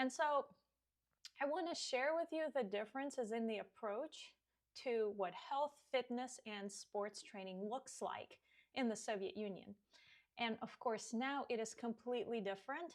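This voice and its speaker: A woman with a Russian accent, high-pitched, lively in intonation, at a moderate pace. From Russia (Siberia). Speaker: fitness coach. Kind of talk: podcast monologue.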